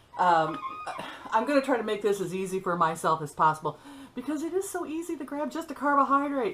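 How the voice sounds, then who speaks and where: With noticeable background noise behind her, a woman talks at a very fast pace. Her high pitch makes very wide swings. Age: 60s. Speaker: vlogger. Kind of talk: casual vlog monologue. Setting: at home, sitting on a stool. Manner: chatty, halting with fillers.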